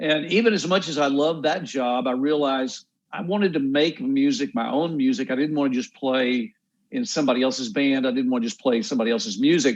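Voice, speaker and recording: A man with a Texan accent talks very fast in a fairly high voice, his intonation lively. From Texas. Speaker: songwriter and musician. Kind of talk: interview.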